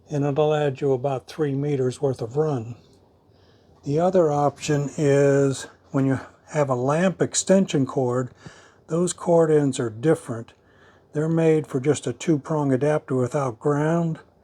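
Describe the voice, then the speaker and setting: A man with an American accent speaks at a fairly slow pace in a dark, mellow tone. His pitch is fairly high and his intonation fairly even. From US, southwest Florida. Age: 70s. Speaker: retired architect, DIY video host. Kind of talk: tutorial.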